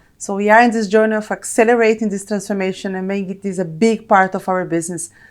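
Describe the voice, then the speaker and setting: On a very clean recording with a silent background, a woman with a Brazilian accent speaks very fast at a medium pitch with fairly even intonation. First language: Portuguese. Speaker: corporate technology executive. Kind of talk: interview.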